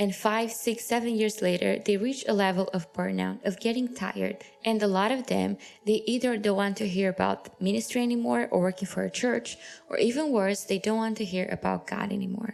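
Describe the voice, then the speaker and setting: The speaker has a Romanian accent and a fairly quick pace. Pitch varies in an ordinary way. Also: woman, medium pitch for a woman. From Romania, Transylvania. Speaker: podcast host. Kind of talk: podcast interview.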